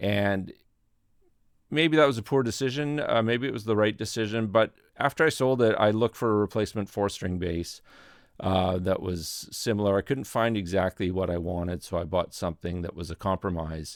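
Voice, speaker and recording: This man has a fairly low pitch with ordinary pitch variation. He talks at a moderate pace. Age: 60s. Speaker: musician and studio channel host. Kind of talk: personal reflection monologue. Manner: halting.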